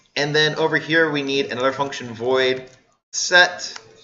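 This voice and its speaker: Audible room echo around a man with ordinary pitch variation. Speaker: university lecturer. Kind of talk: lecture.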